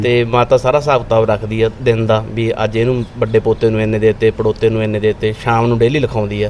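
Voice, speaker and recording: The man's medium-pitched voice stays monotone and flat amid noticeable background noise. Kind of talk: interview answer.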